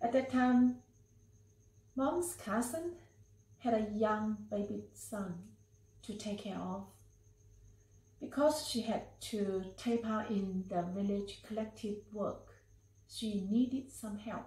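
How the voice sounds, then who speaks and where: A woman speaks at a very slow pace with long, frequent pauses and ordinary pitch variation. Room echo is audible. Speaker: family storyteller. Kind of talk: personal story narration. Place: meeting room.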